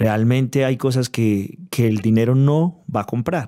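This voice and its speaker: A man's dark, mellow voice with ordinary pitch variation, over a quiet background. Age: 30s. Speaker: pastor. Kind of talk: interview testimony. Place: studio. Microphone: studio mic.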